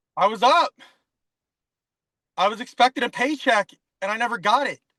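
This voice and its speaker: A man with an extremely high pitch and a bright, sharp tone speaks in a raised, projected voice at a fairly quick pace. His tone is animated with ordinary pitch variation, and the sound is dry and close with no echo. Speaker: corrections officer. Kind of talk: casual chat. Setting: in a car. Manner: fast.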